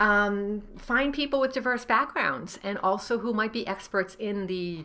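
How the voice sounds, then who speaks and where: A woman speaks in a Rhode Island accent at a moderate pace, her pitch medium. Her tone is bright and sharp, and her intonation is lively. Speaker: novelist and writing coach. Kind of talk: tutorial. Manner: casual, with many fillers.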